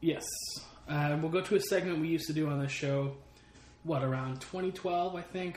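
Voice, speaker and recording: A man's fairly high-pitched voice at a moderate pace with ordinary pitch variation, over noticeable background noise. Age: 30s. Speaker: sports podcast co-host. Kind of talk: casual chat. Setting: home.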